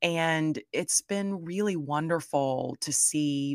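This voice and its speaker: In a very clean recording with a silent background and a dry, close sound free of echo, a woman with a Southern US accent speaks in a very deep, low pitch with ordinary pitch variation. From US South. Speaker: content creator and product designer. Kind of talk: interview.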